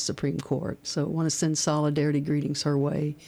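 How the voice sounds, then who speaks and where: A woman's very deep, low voice with a dark, mellow tone and a Kentucky accent, on a very clean recording against a silent background. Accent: Kentucky Southern US. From central Kentucky, rural. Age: 60s. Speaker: activist. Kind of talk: radio interview. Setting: radio studio.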